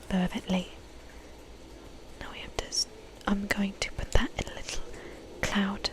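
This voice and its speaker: With noticeable noise behind it, a whisper moves along at a moderate speed. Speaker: ASMR creator, book reader. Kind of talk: casual talk to camera between readings. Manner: soft-spoken, whispery, casual, chatty.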